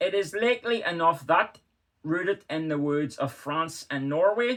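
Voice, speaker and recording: Lively intonation marks this man's high-pitched voice, spoken with a Northern Irish accent. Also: moderate pace. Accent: Northern Irish (Belfast). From Northern Ireland. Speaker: historian. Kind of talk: literary reading.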